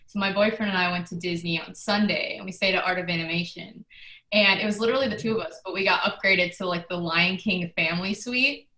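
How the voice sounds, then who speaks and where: Talking at a very fast pace with fairly even intonation, a woman holds a medium pitch over noticeable background noise. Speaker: social media manager, new team member. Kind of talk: casual chat.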